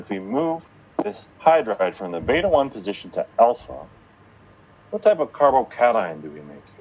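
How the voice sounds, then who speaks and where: The speaker moves at a moderate pace, with big swings in loudness and very wide pitch swings. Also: man, medium pitch for a man. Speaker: chemistry lecturer. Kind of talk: lecture.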